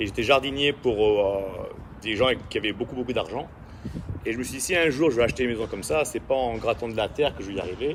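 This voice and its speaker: Though he speaks at a very fast pace, a man with a medium pitch leaves long, frequent pauses. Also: ordinary pitch variation. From French Caribbean (Saint-Barthélemy). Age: 40s. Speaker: actor and martial artist. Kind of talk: casual interview. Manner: hesitant, many fillers.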